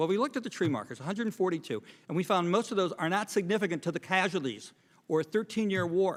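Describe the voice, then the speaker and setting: On a very clean recording with a silent background, a man talks very fast in a high voice. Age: 60s. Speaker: Vietnam war veteran, former helicopter pilot. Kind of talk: congressional testimony. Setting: congressional hearing room. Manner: formal.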